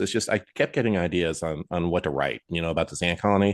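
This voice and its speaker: Against a quiet background, a man speaks at a fairly quick pace, the sound dry and close with no echo. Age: 60s. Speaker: children's book author. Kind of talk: interview. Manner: halting, many fillers.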